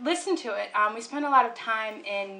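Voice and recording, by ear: The text is read aloud in a natural voice with lively intonation.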